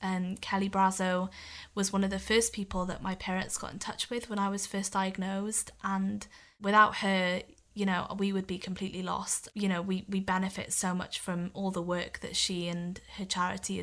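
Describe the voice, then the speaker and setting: A woman with a Welsh accent, medium pitch, bright and sharp tone, moderate pace, on a very clean recording with a silent background. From Wales. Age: 20s. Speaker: podcast guest living with muscular dystrophy. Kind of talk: interview.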